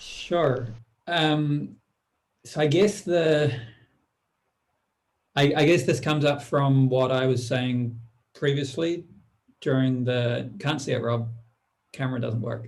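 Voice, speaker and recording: Speech comes at a very slow pace with long, frequent pauses and a somewhat breathy quality. Pitch moves in an ordinary way, and room echo can be heard. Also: man, medium pitch for a man. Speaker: conference participant. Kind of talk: discussion presentation. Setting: video call.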